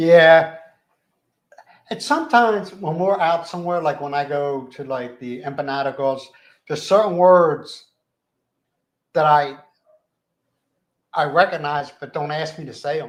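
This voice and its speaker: With a Philadelphia accent, a man speaks at a fairly high pitch and a fairly slow pace, pausing long and often. His pitch varies in an ordinary way while his loudness swings widely. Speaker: live stream host. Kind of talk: casual chat. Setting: live stream. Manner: uses lots of slang.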